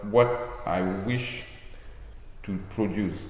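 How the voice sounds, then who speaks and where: Audible room echo around a voice with a French accent. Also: man. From France, Medoc. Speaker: wine estate owner. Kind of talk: casual interview. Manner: halting.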